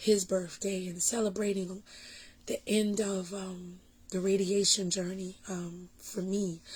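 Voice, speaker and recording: A dark, mellow voice speaks at a very slow pace with flat, monotone intonation and a somewhat breathy quality. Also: woman. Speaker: vlogger sharing cancer journey. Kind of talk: personal vlog talk. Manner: halting, many fillers.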